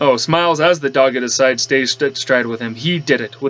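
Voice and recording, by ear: Natural-voiced reading aloud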